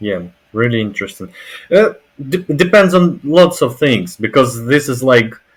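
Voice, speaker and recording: With a Russian accent, a man talks at a fairly slow pace, his pitch swinging very widely. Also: big swings in loudness. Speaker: language learner. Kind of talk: casual conversation practice. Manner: halting.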